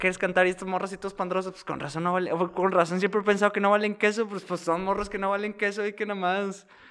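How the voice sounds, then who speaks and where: Noticeable background noise sits behind a man talking at a very fast pace. His high voice keeps a fairly even intonation. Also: hardly any pauses. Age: 20s. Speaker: podcast co-host. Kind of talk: casual chat. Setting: studio.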